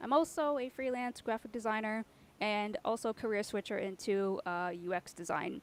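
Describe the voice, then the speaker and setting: A woman with a normal speaking voice and fairly high pitch talks at a fairly quick pace with ordinary pitch variation in a dry, close sound with no echo. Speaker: design community co-founder and workshop facilitator. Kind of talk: online workshop introduction.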